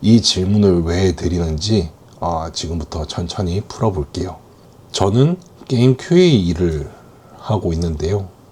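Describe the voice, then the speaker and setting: A man speaks at a very slow pace. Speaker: game QA worker and middle manager, workplace vlogger. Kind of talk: casual monologue. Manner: hesitant with fillers.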